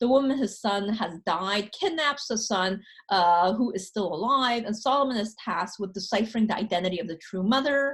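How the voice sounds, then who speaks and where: A woman speaks at a moderate pace in a somewhat breathy voice with lively intonation. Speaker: professor. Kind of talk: lecture. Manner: hesitant, many fillers.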